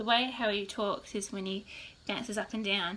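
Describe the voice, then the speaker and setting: A woman's fairly high, bright, sharp voice at a moderate pace. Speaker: mother. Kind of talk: casual talk to camera.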